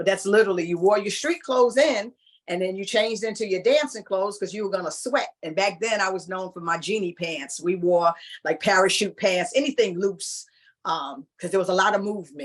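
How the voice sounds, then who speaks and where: The woman talks at a fairly quick pace with ordinary pitch variation. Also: medium pitch for a woman. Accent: New York. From New York, Long Island (Hempstead). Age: 60s. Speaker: former club dancer. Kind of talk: interview reminiscence. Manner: casual, conversational with fillers.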